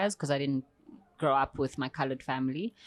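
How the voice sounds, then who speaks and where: Speaking at a fairly quick pace with a South African accent, a woman with a very deep, low pitch keeps her intonation fairly even in a dry, close recording with no echo. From South Africa, Eastern Cape. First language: Xhosa. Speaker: poet and performance artist. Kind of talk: podcast interview.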